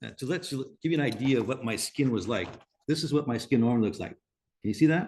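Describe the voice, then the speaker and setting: Lively intonation carries this man's very fast pace. His pitch sits at a medium level. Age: 60s. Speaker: natural skincare company founder. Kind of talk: webinar panel talk. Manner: halting.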